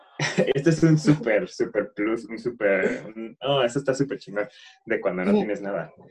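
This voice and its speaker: At a moderate pace, the speaker uses a Mexican accent, sounds somewhat breathy and swings very widely in pitch. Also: man, medium pitch for a man. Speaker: podcast co-host. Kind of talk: casual chat.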